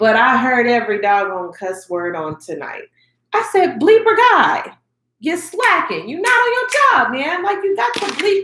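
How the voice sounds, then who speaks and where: Raising and projecting her voice, a woman speaks in a bright, sharp, animated tone at a fairly slow pace, her pitch swinging very widely. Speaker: YouTuber reviewing award shows. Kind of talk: casual review vlog.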